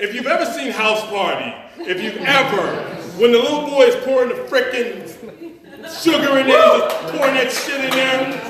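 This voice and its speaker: Extremely high in pitch with very wide swings, a man with an American accent talks at a moderate pace over noticeable background noise. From Chicago. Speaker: storyteller. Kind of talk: live storytelling performance. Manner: casual, humorous.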